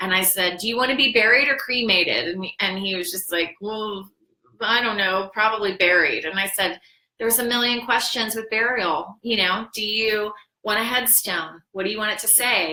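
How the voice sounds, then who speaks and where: Speaking with a Midwestern American accent, a woman keeps a moderate pace. Her pitch sits fairly high with ordinary variation. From Ohio (Dayton). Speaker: death planning consultant and vlogger. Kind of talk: casual livestream chat. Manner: chatty, animated.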